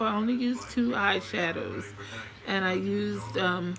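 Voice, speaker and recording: Speaking at a fairly slow pace, a woman can be heard against noticeable background noise. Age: 60s. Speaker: beauty vlogger. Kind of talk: makeup product review vlog. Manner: hesitant, many fillers.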